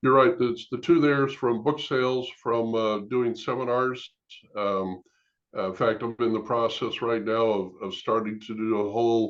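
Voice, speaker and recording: A man talks in an ordinary speaking voice at a medium pitch. His pace is moderate and his intonation fairly even. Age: 60s. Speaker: former pastor, author and end-of-life planning consultant. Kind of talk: interview.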